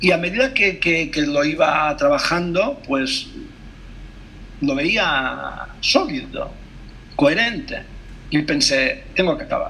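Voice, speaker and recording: In a room with audible echo, a man speaks very slowly, leaving long, frequent pauses. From Mallorca, Spain. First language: Catalan (speaking Spanish). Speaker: translator and poet. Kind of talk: interview conversation over video call. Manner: halting, many hesitations and self-corrections.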